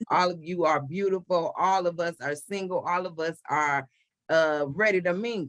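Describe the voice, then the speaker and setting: A woman talks at a moderate pace in a plain, everyday voice, her pitch varying in an ordinary way. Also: fairly low pitch for a woman. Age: 40s. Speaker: podcast host. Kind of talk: casual chat.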